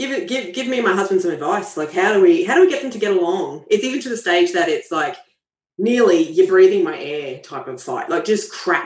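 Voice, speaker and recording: The speech moves at a fairly quick pace. It comes with an Australian accent. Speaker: caller. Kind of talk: casual chat.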